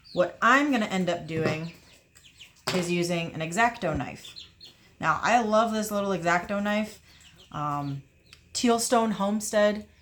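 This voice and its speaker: Against noticeable background noise, a woman speaks at a fairly slow pace and medium pitch, leaving long, frequent pauses. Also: ordinary pitch variation. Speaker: homesteader raising rabbits. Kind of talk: tutorial. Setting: at a work table. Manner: casual, self-correcting.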